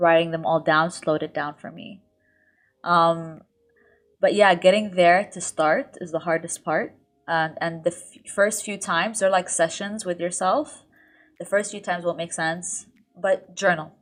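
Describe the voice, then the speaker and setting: With fairly even intonation, a woman speaks in big swings of loudness. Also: fairly low pitch for a woman. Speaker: lifestyle YouTuber. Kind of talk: podcast interview. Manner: fast.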